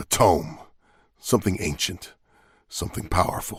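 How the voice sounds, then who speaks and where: In a very clean recording with a silent background, a man uses a put-on character voice that is raspy and very deep, at a moderate pace. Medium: video game. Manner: dry, sardonic.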